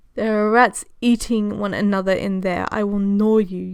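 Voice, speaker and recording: Using a put-on character voice with a hissing sound, a woman speaks at a medium pitch and a moderate pace. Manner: hissing, threatening.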